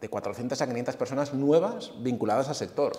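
At a moderate pace, a man is speaking. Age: 40s. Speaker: fitness coach and former bodybuilder. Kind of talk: casual interview.

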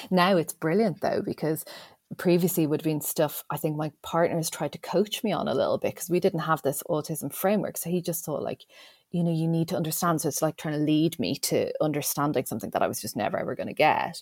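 A woman with an Irish accent speaks very fast at a fairly low pitch with ordinary pitch variation in a very clean recording with a silent background. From Ireland. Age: 40s. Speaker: educational developer. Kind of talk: casual interview. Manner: chatty.

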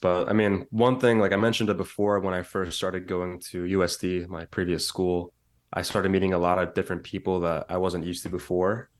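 A man with an American accent and a very deep, low pitch, very fast pace, hardly any pauses and monotone, flat intonation over a quiet background. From San Francisco Bay Area, US. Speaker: content creator. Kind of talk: casual chat.

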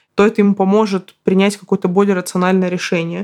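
Monotone, flat intonation at medium pitch from a woman. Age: 30s. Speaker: podcast host, writer. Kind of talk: solo podcast monologue.

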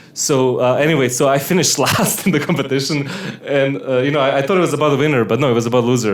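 A man rushes along at a very fast pace with noticeable background noise behind him. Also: ordinary pitch variation. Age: 30s. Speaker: podcast co-host, musician. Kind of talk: casual banter. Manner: joking, playful.

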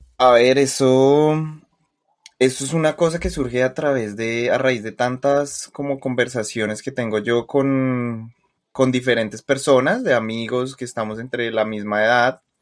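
A man with a Colombian accent talks at a fairly slow pace with fairly even intonation. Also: medium pitch for a man. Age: 20s. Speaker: podcast co-host. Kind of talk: casual chat.

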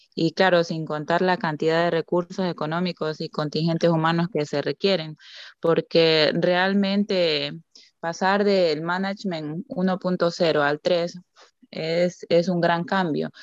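A woman speaks very slowly at a fairly low pitch with fairly even intonation. The sound is dry and close with no echo, over a quiet background. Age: 30s. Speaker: banker, master's student. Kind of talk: casual panel discussion.

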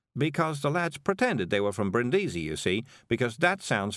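What you hear is an unforced reading voice.

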